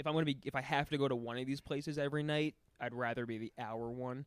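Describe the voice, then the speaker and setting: On a very clean recording with a silent background, a man speaks at a fairly quick pace in a fairly high pitch with ordinary pitch variation. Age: 20s. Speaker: stand-up comedian. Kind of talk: casual chat. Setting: studio.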